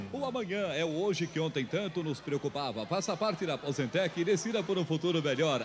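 A man talks in an ordinary speaking voice at a fairly high pitch and a fairly quick pace, with lively intonation. He keeps a very even loudness and hardly any pauses. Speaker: TV announcer. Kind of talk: TV commercial read.

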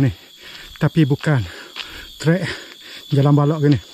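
A man speaks with ordinary pitch variation in a dry recording with no echo and light background noise. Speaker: hiking vlogger. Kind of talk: casual vlog chat. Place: forest. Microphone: phone near.

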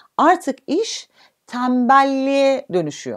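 The background is quiet while a woman talks. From Turkey. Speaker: physiotherapist; physiotherapist instructor. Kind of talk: online health talk. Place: home room.

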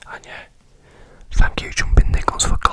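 Recorded with a dry sound and no echo, a man speaks over loud background noise. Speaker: ASMR creator. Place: home room. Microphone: studio mic.

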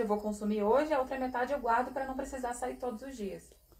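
A woman talks at a fairly quick pace with a Brazilian accent. Her pitch is high, with ordinary variation. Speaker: interpreter; spiritual teacher. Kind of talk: consecutive interpreting. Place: home room.

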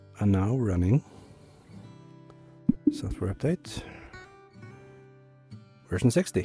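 Music plays in the background as a man speaks with lively intonation and long, frequent pauses. His voice sounds dry and close, with no echo. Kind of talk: casual talk to camera.

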